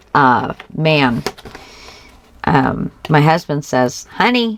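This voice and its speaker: Over noticeable background noise, a woman speaks very slowly with long, frequent pauses, her very deep, low pitch making very wide swings while her loudness stays very even. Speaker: crafting channel host. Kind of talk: craft tutorial.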